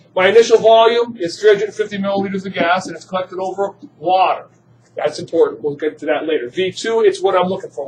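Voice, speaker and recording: Against light background noise, a man speaks with a high pitch. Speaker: chemistry teacher. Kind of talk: classroom lecture. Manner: fast. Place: classroom.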